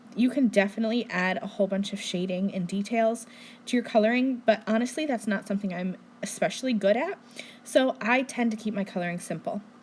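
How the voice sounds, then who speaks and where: Her voice is fairly high and somewhat breathy. The woman talks at a very fast pace with ordinary pitch variation. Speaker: card maker. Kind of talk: tutorial. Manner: casual, friendly.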